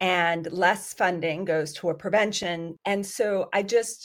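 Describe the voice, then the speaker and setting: At a fairly slow pace, a woman with a plain, everyday voice speaks in a fairly low pitch on a very clean recording with a silent background. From US, Iranian immigrant family, raised bilingual. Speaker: psychiatry professor and researcher. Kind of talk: podcast interview.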